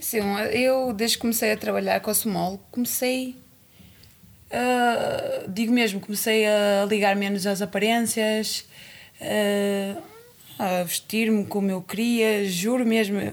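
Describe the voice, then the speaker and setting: A woman's fairly high voice, very slow, with fairly even intonation, very even loudness and noticeable background noise. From Cape Verde. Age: 30s. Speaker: boxer. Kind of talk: casual chat.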